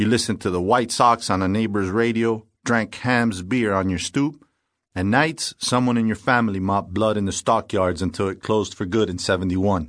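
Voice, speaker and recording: Animated in tone, a man with a fairly low pitch speaks at a moderate pace with ordinary pitch variation over a quiet background. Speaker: audiobook narrator. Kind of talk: scripted narration. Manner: dry, sardonic, hard-boiled noir delivery; animated, wry, clipped first-person cop voice.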